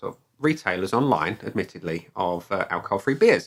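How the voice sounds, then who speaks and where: A man speaks with a southeast English accent. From southeast England (Kent, Dartford). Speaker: beer reviewer / video blogger. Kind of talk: casual vlog monologue. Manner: conversational, many fillers.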